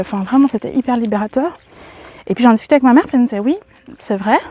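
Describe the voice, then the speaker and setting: A woman speaks with a fairly high pitch. Her pace is very fast. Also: dry, close sound with no echo. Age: 30s. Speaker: vlogger. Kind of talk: casual chat. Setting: outdoors. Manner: halting.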